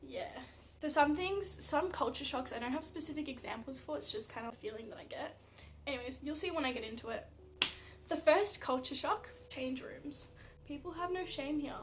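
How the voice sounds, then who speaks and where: With an Australian accent, a woman speaks at a high pitch and fairly quick pace, her intonation lively. Noticeable background noise and audible room echo come through. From Australia (Melbourne). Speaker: athlete vlogger. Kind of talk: casual vlog. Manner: casual, filler-heavy.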